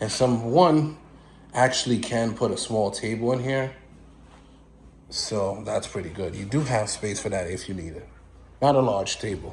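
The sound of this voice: A man talks at a fairly slow pace with long, frequent pauses, his fairly low pitch and slightly mellow tone carrying ordinary pitch variation through strong room echo.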